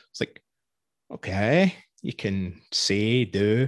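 A man with a Scottish accent is heard against a quiet background, with a dry, close sound and no echo. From Scotland. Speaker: podcast host. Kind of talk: interview conversation.

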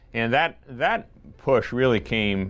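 With an American accent, a man speaks with vocal fry. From Virginia (Lynchburg area), US South. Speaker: school principal. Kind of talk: interview conversation. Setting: school building.

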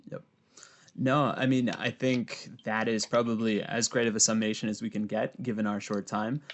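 An unremarkable speaking voice from a man of medium pitch, at a moderate pace with fairly even intonation. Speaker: podcast host. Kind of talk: casual interview.

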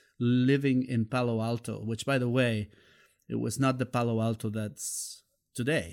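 A man with a Spanish accent at a fairly slow pace, on a very clean recording with a silent background. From Mexico, Xalapa, Veracruz. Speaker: music journalist and DJ. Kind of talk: interview storytelling.

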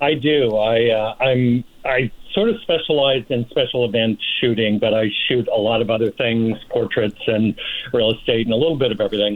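Speaking in an ordinary speaking voice, a man with an American accent and medium pitch keeps a moderate pace, very even loudness, and fairly even intonation. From US Northeast (Rochester, New York). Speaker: photographer and screenwriter. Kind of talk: interview.

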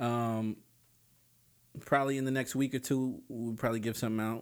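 The man talks at a very fast pace and medium pitch, with an animated tone. The recording is very clean, with a silent background. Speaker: podcast host. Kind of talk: casual banter, profane. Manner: casual, slangy, animated.

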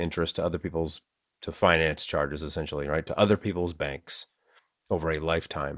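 A man with a Boston accent, speaking at a fairly quick pace. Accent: Boston, Massachusetts. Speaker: podcast host. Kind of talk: casual conversation about finance.

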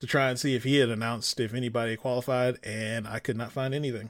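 A man at medium pitch talks at a fairly quick pace in an ordinary speaking voice. The recording is very clean, with a silent background. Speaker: podcast host. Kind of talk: casual banter about gaming. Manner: casual, joking.

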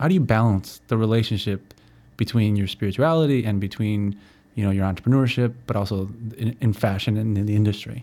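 A man's medium-pitched voice, dark and mellow in tone, at a fairly quick pace. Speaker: podcast host. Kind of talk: casual interview.

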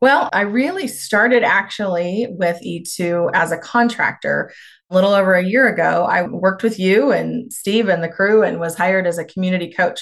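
Speaking with a Kansas accent, a woman keeps a moderate pace with hardly any pauses. Her medium pitch shows ordinary pitch variation. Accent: Midwestern American (Kansas). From rural northwest Kansas. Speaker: rural community development practitioner. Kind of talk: podcast interview.

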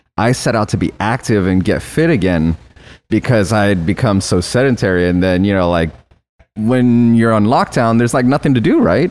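In an ordinary speaking voice, a man talks at a moderate pace with a fairly low pitch, lively intonation and very even loudness. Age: 40s. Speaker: office worker and former podcast guest. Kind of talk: casual chat.

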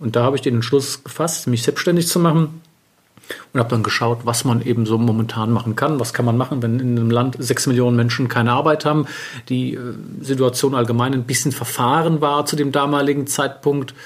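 A man's plain, everyday voice, medium in pitch, fairly quick in pace, with very even loudness. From Germany, Wiesbaden. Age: 40s. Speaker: bespoke tailor. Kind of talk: interview. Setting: tailoring studio.

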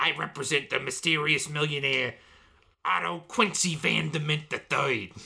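In a raspy put-on character voice, a man speaks at a moderate pace with fairly high pitch, lively intonation and very even loudness.

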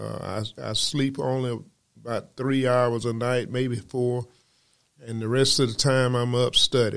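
A man talks at a fairly slow pace at medium pitch. His intonation is monotone and flat. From US South, Georgia. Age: 70s. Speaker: preacher. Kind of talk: sermon.

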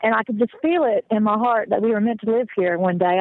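A woman with an American accent, fairly high pitch, ordinary pitch variation and a fairly quick pace. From US South. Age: 30s. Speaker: horse trainer living on a South African farm. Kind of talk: interview. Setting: phone call.

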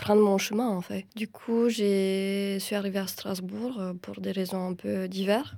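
A woman with a dark, mellow tone speaks at a medium pitch and fairly slow pace, her intonation monotone and flat. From Romania. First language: Romanian (speaking French). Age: 30s. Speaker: film director and screenwriter. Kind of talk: interview. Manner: halting, many repetitions and fillers.

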